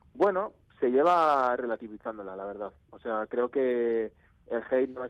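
Through noticeable background noise comes a man's medium-pitched voice with ordinary pitch variation. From Spain, Navarre (Pamplona). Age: 20s. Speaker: musician and music producer. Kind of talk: radio interview. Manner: halting, many repetitions.

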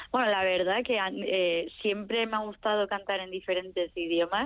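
A normal speaking voice with ordinary pitch variation. The pace is moderate. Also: woman. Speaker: singer-songwriter. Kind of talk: interview.

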